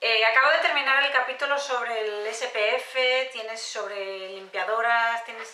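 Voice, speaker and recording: Audible room echo surrounds a woman's fairly high voice. She talks at a fairly slow pace with fairly even intonation. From Spain. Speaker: beauty youtuber; beauty vlogger. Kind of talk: casual haul video monologue. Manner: hesitant with frequent fillers. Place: home room.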